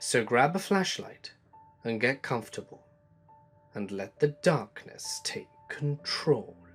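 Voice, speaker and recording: Someone speaks at a very slow pace with long, frequent pauses while music plays in the background. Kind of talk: horror podcast host intro.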